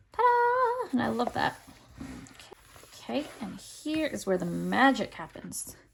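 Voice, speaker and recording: A woman speaks at a fairly slow pace amid noticeable background noise. Her loudness swings widely. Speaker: bullet journal creator. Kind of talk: casual craft tutorial talk to camera.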